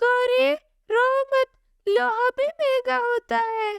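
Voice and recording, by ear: This cartoonish character voice has an extremely high pitch and a very slow pace.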